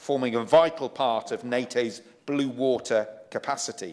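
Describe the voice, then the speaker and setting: A man with a Yorkshire accent talks at a fairly slow pace. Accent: British English, Yorkshire. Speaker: member of parliament. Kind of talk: parliamentary speech. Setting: debating chamber.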